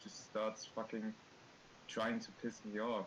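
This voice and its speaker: With a slight non-native accent, a man speaks at a medium pitch and moderate pace, his intonation fairly even, over noticeable background noise. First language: not English. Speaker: artist. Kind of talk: casual chat. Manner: halting.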